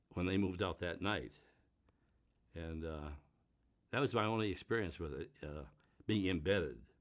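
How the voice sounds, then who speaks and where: Lively intonation and vocal fry mark this man's very deep, low voice. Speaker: war veteran. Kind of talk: interview answer.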